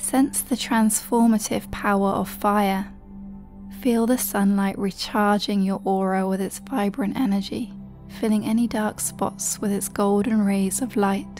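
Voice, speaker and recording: Over music in the background, a woman with an English accent talks at a fairly slow pace, with medium pitch and fairly even intonation. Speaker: meditation guide. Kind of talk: guided meditation. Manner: slow, soft-spoken.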